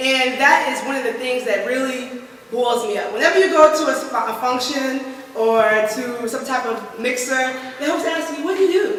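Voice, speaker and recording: Over noticeable background noise and audible room echo, a woman speaks in a raised, projected voice with an animated tone, high pitch, ordinary pitch variation and a moderate pace. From US, West African family. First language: West African language. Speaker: motivational speaker. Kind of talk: motivational talk. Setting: stage with audience.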